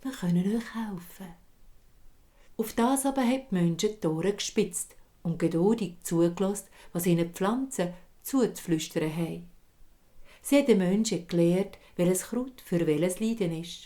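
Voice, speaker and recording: With a Swiss accent, a woman of medium pitch speaks in a dark, mellow tone at a moderate pace, with ordinary pitch variation and long, frequent pauses. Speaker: storyteller. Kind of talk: fairy tale storytelling.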